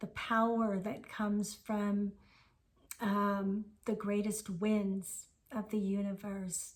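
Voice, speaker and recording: Somewhat breathy and at a medium pitch, a woman speaks at a very slow pace in a monotone, flat intonation. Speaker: spiritual teacher. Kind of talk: spiritual talk.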